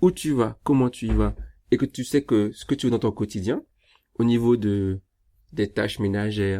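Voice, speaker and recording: The sound is dry and close with no echo as a man of medium pitch speaks fairly slowly in a dark, mellow tone. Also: very clean recording, silent background. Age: 30s. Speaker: relationship coach. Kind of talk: live stream Q&A. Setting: Instagram live.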